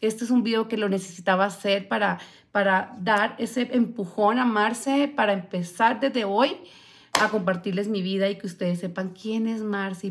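A woman with an unremarkable speaking voice speaks at a moderate pace and medium pitch, her intonation fairly even. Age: 40s. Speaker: vlogger. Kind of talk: livestream casual chat. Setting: live stream. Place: home room. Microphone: phone near.

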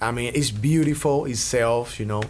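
A man with a Cuban accent, fairly slow pace and ordinary pitch variation. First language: Spanish. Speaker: percussionist and entertainer. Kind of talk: casual interview. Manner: animated. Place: studio. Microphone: studio mic.

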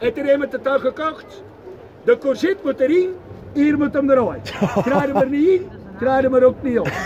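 Over crowd noise in the background, a man with an Antwerp accent and an extremely high pitch speaks at a moderate pace with ordinary pitch variation and long, frequent pauses. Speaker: market vendor. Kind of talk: market sales pitch. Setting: outdoors. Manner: lively, persuasive. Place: market. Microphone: camera far.

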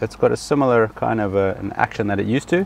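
The sound is dry with no echo as a man speaks at a moderate pace with ordinary pitch variation. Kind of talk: casual vlog tutorial. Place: car. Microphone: phone near.

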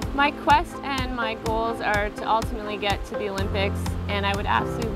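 A woman at a moderate pace, dry sound with no echo, loud music in the background. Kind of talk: interview answer. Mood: positive, confident. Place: waterside.

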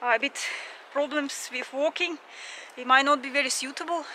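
The tone is bright and sharp. It moves at a moderate pace with fairly even intonation. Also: woman.

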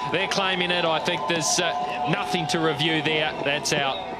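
A man speaks at a fairly slow pace in a raised, projected voice. Background noise is noticeable. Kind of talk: live commentary.

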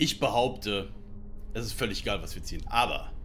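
Light background noise sits behind a man talking at a moderate pace. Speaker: gaming streamer. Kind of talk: casual chat. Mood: thoughtful, puzzling over the plot. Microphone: headset.

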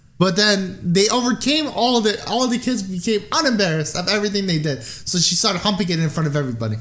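A man's animated, very fast delivery at a high pitch, with lively intonation, hardly any pauses and very even loudness over noticeable background noise. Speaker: podcast co-host. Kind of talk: casual chat.

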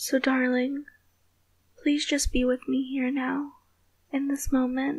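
Against a quiet background, a woman speaks very slowly with a high pitch, monotone, flat intonation, and long, frequent pauses. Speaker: ASMR creator. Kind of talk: girlfriend roleplay, scripted romantic monologue. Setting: close-mic ASMR recording. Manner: intimate, tender, hushed whisper with pleading sincerity. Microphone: studio mic.

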